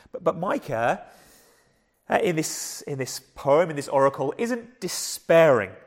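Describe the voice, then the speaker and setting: Pitch swings very widely as a man talks with a fairly high voice. His pace is fairly slow. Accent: southern English. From southern England. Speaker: preacher. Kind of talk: sermon. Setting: church.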